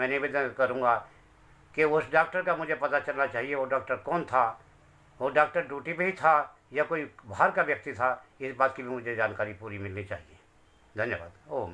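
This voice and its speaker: A man's bright, sharp voice sits at medium pitch, moving at a moderate pace with ordinary pitch variation. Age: 60s. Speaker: grieving father. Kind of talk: testimony. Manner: pleading.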